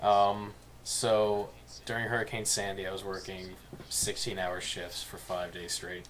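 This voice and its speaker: A man with an American accent, fairly low-pitched, at a fairly slow pace with fairly even intonation, with audible room echo and noticeable background noise. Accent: slight New Jersey accent, stronger at times. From New Jersey, Bayonne. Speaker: podcast co-host. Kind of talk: casual chat.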